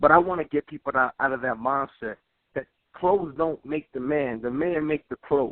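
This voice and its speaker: An ordinary speaking voice from a man with an American accent, fairly high in pitch, at a moderate pace with ordinary pitch variation. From Brooklyn, New York, US. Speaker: street fashion model and army veteran. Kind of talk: radio interview.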